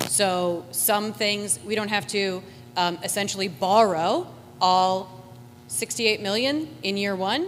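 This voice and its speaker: Loud and very slow, a woman at a medium pitch speaks with very wide pitch swings. Audible room echo surrounds her voice. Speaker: school district administrator. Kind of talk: public meeting explanation.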